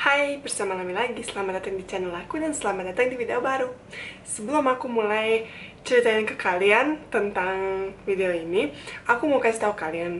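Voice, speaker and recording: A woman talks at a fairly quick pace with lively intonation. Noticeable background noise and audible room echo surround her. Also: fairly high pitch for a woman. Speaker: vlogger. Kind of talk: casual vlog talk. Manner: fast when fluent, hesitant when searching words.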